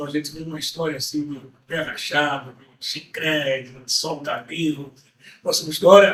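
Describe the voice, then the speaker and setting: A man talks at a fairly slow pace, his loudness swinging widely. His pitch is fairly high and his intonation monotone and flat. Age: 80s+. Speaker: samba school veteran member. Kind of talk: testimony.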